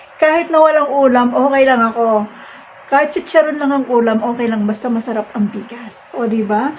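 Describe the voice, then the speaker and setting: The speech moves at a fairly quick pace with ordinary pitch variation, over noticeable background noise. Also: woman, high pitch for a woman. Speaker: vlogger. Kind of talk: casual vlog monologue.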